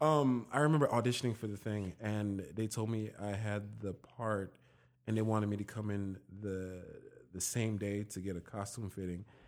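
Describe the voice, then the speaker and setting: A man talks at a moderate pace in an ordinary speaking voice. His pitch sits fairly low, and his intonation stays fairly even. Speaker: actor. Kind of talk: casual chat.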